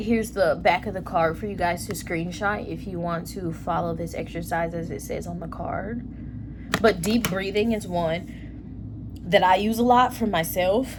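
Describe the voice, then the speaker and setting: A woman speaks at a fairly slow pace, her loudness swinging widely, with audible room echo and noticeable background noise. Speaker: tarot reader. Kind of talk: tarot reading. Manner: animated.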